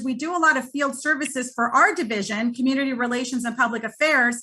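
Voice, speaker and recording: This woman speaks in a raised, projected voice with a high pitch, a bright, sharp tone and a fairly quick pace. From Guadalajara, Mexico. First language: Spanish. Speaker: communications consultant. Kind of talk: business presentation.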